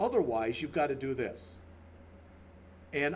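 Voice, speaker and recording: A man at a moderate pace, with audible room echo. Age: 60s. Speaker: college instructor. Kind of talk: lecture. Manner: casual, off the cuff.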